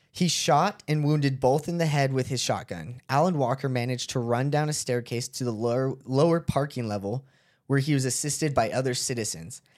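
A man talks at a medium pitch with ordinary pitch variation and hardly any pauses, in a normal speaking voice. The recording is very clean, with a silent background. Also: fairly quick pace. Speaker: podcast host, narrates the case. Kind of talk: casual chat with storytelling.

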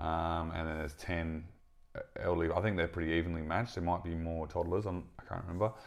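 In an Australian accent, a man speaks at a very fast pace. His pitch is very deep and low, and his intonation is monotone and flat. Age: 30s. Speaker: podcast host. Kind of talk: casual chat.

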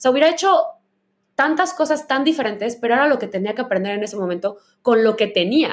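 Talking at a very fast pace, a woman uses a high pitch with very wide pitch swings. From Mexico, Guadalajara, Jalisco. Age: 30s. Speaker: podcast host. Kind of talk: casual chat.

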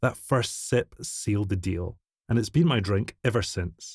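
A man with a Scottish accent and fairly low pitch, on a very clean recording with a silent background. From Scotland. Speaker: whiskey brand ambassador. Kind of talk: scripted narration. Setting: studio.

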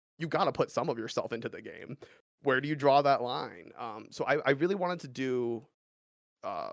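The recording is very clean, with a silent background and a dry, close sound with no echo. A man speaks at a very fast pace. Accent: Californian. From US West Coast, Los Angeles suburbs. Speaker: speedrunner and streamer. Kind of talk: casual interview.

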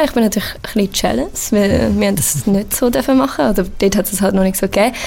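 There is noticeable noise in the background. Over it, a woman talks at a medium pitch. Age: 20s. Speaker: university student. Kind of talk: casual interview.

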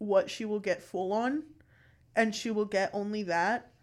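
A woman talks at a fairly slow pace and fairly high pitch. The recording is very clean, with a silent background. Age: 20s. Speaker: podcast co-host. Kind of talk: casual chat. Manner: animated.

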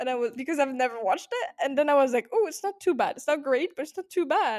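A woman with a French accent speaks at a high pitch. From France. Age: 20s. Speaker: podcast co-host. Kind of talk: casual chat.

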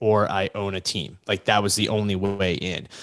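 Moderately paced, a man with an American accent uses an ordinary speaking voice, fairly low in pitch. The sound is dry and close, with no echo. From US South, Virginia Beach area. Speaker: sports agent and entrepreneur. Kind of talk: casual interview.

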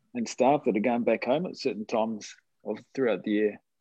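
A man talks with a New Zealand accent. His intonation is lively. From New Zealand, Hibiscus Coast north of Auckland. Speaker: rugby league team manager. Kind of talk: interview. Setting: video call.

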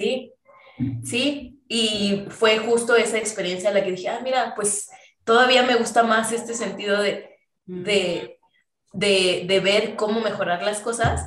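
With a central Mexican accent, a woman speaks at a fairly slow pace and fairly even intonation amid audible room echo. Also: fairly high pitch for a woman. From Mexico City, later Querétaro. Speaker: software engineer. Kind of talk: casual interview chat.

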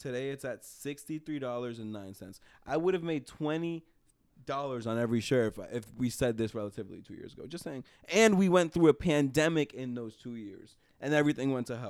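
A man with an American accent speaks in a plain, everyday voice at medium pitch and a fairly quick pace. His intonation is lively, his loudness swings widely, and the recording is very clean with a silent background. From New York, Dominican family. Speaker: podcast producer. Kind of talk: casual chat.

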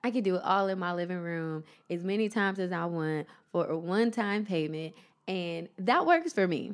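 A woman with an American accent talks at a moderate pace in a medium pitch, her tone animated and playful. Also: ordinary pitch variation. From Ohio, US. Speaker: podcast host, model and actor. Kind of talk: solo motivational podcast monologue. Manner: animated, playful.

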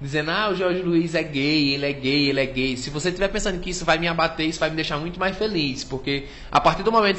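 A man talks at a very fast pace in a high voice with fairly even intonation. Noticeable background noise runs underneath. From Cariri, Ceará, Brazil (rural Juazeiro do Norte). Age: 30s. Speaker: comedian. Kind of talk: casual chat.

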